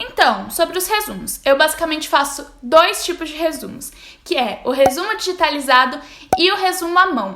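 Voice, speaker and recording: Against noticeable background noise, a woman projects her voice at an extremely high pitch, with lively intonation and a moderate pace. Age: 20s. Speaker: university student and study vlogger. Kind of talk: tutorial.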